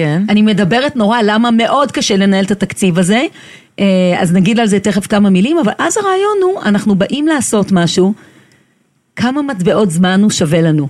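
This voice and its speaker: At a moderate pace, a woman with a medium pitch and an energetic tone speaks with lively intonation, very even loudness and a somewhat breathy quality. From Israel, kibbutz. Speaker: time-management consultant. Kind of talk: interview.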